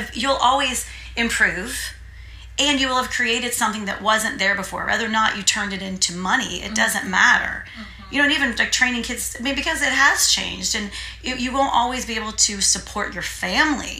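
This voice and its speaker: With an American accent, a woman talks at a fairly quick pace amid noticeable background noise and audible room echo. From US Midwest (Terre Haute, Indiana). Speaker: theatre owner and performer. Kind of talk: casual interview chat. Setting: on location.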